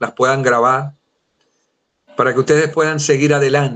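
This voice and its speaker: This man's voice sits at a fairly high pitch. He talks in a monotone, flat way. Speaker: Bible teacher. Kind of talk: lecture.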